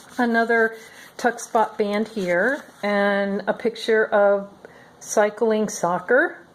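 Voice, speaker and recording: A woman with a fairly high pitch talks while noticeable background noise plays behind her. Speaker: crafter showing handmade journals. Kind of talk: product flip-through tutorial. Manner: casual, with frequent fillers.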